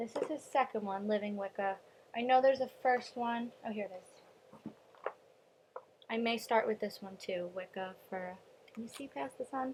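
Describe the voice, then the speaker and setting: A woman with an American accent talks at a moderate pace and a fairly high pitch, with ordinary pitch variation, big swings in loudness, and long, frequent pauses. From US Northeast, Long Island, New York. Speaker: vlogger. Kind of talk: casual vlog. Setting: at home, mother's house. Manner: hesitant with many ums.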